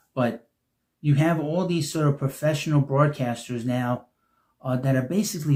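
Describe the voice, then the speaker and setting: This man's voice is fairly high in pitch, dark and mellow in tone, and somewhat breathy, with ordinary pitch variation and a moderate pace. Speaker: YouTube sports media commentator. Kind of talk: casual monologue video. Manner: halting, self-correcting.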